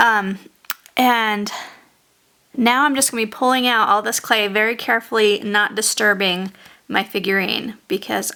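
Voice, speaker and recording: An unremarkable speaking voice from a woman, fairly high in pitch, with ordinary pitch variation and a moderate pace. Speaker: sculpting tutorial maker. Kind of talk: tutorial. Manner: casual, relaxed.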